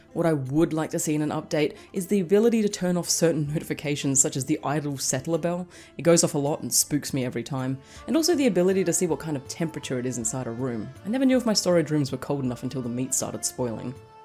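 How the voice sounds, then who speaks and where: Music plays behind a woman with a very deep, low pitch. She talks very fast with lively intonation. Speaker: game reviewer and novelist. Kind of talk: game review narration.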